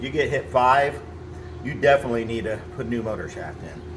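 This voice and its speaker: Moving at a moderate pace, a man's speech is accompanied by noticeable background noise. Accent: American. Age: 60s. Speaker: machine repair technician. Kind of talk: tutorial. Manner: casual.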